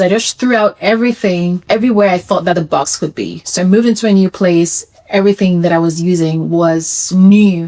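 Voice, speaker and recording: The woman has a normal speaking voice, fairly low in pitch, with fairly even intonation and a moderate pace. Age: 40s. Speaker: vlogger sharing personal health story. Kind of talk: personal testimony vlog. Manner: conversational.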